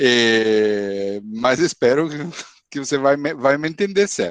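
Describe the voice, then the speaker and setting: In an Italian accent, a man speaks at a fairly slow pace with medium pitch and lively intonation. The sound is dry and close, with no echo. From Italy. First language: Italian (speaking Portuguese). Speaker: university professor, invited speaker. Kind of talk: webinar lecture. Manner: halting, many fillers.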